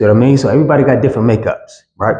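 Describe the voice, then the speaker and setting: Somewhat breathy male speech with ordinary pitch variation. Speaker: fitness trainer. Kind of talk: tutorial. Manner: casual, conversational.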